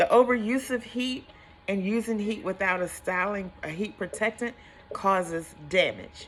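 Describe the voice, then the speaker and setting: Animated at a moderate pace, a woman speaks at medium pitch with ordinary pitch variation over noticeable background noise. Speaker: hairstylist. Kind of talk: tutorial.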